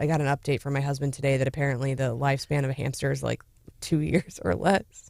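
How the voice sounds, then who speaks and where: Raspy and put-on, this character voice races along at a very fast pace. Its intonation stays fairly even. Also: man, medium pitch for a man. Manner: joyful and barely contained.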